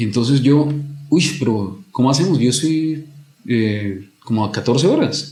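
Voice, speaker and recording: A man with a normal speaking voice talks at a fairly slow pace. His intonation is lively. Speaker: commercial voice-over announcer. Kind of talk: podcast interview answer.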